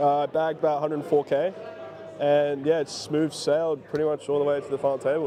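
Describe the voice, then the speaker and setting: A man with an Australian accent at a fairly high pitch and a fairly quick pace, over noticeable background noise. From Sydney, Australia. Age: 20s. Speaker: poker player. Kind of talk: interview.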